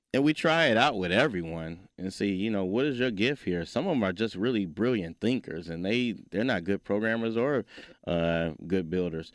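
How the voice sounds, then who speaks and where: In a very clean recording with a silent background, a man with an American accent uses an ordinary speaking voice at a fairly low pitch, with lively intonation and a moderate pace. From Detroit, Michigan. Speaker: robotics engineer and STEM nonprofit founder. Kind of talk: interview. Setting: studio.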